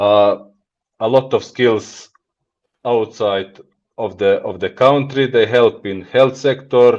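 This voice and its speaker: In a Montenegrin accent, the speaker talks at a very slow pace. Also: man. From Montenegro. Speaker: business executive. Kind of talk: podcast interview. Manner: halting.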